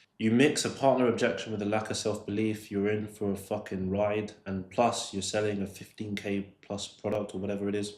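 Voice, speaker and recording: Here a man with a London accent speaks at a fairly quick pace with hardly any pauses. His pitch is fairly low and his intonation monotone and flat. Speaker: sales coach. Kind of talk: tutorial commentary on a recorded call. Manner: casual, with filler words.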